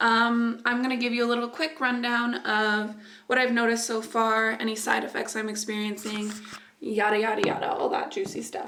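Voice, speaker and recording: Fairly high in pitch, a woman speaks at a moderate pace with ordinary pitch variation. Noticeable background noise and audible room echo surround her voice. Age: young. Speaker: beauty vlogger. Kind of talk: casual vlog.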